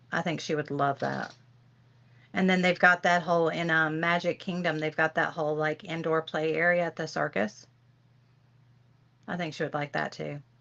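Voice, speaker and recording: Speaking with a Southern US accent, a woman uses a very deep, low pitch and a bright, sharp tone at a moderate pace. Her intonation stays fairly even, she takes long, frequent pauses, and the background is quiet. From Tennessee. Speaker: livestream host. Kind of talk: casual chat. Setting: livestream.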